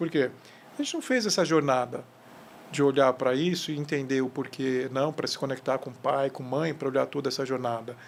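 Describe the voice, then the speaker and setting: A man with an ordinary speaking voice and a fairly high pitch talks fairly quickly with fairly even intonation. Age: 50s. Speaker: leadership mentor and CEO. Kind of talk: podcast interview.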